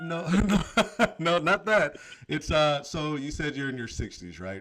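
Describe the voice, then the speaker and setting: An ordinary speaking voice: a man with an American accent and a fairly high pitch. He talks at a fairly slow pace with lively intonation and big swings in loudness. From Oakland, California. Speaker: radio host. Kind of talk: casual chat.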